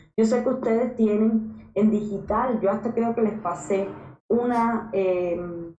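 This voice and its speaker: A woman talks at a fairly slow pace and fairly high pitch, with fairly even intonation and very even loudness. The room echo is audible. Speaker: university lecturer. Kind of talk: lecture.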